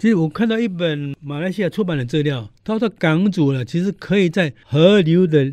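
A high-pitched man at a moderate pace, with lively intonation and hardly any pauses. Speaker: local history commentator. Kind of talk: radio interview.

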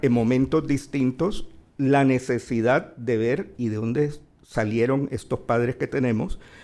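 A man with a dark, mellow tone delivers his words at a fairly slow pace. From Colombia, Barranquilla (Caribbean coast). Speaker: journalist, opinion editor. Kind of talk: live panel conversation. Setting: stage with audience. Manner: calm, mild-spoken.

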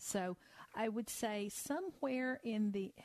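Her voice sits fairly high for a woman, with ordinary pitch variation. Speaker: financial advisor. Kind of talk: radio call-in advice show. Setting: studio.

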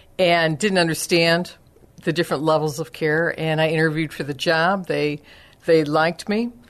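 An ordinary speaking voice from a woman, fairly low in pitch, at a moderate pace with fairly even intonation over a quiet background. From US Midwest, Chicago area. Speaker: senior care advisor. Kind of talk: radio interview.

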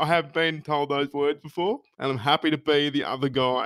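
With an Australian accent, a man speaks at a fairly high pitch and with fairly even intonation in a very clean recording with a silent background. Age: 20s. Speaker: podcast host and stand-up comedian. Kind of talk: casual chat.

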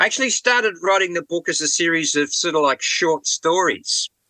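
High-pitched man with an Australian accent and a bright, sharp tone, at a fairly quick pace, in a dry, close sound with no echo. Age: 70s. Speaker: rock drummer and author. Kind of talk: interview. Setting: remote call from a boat.

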